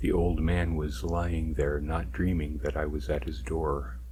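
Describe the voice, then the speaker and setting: A man talks at a fairly slow pace in a dark, mellow tone. His voice carries vocal fry. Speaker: ASMR narrator. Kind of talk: read story, first-person narration.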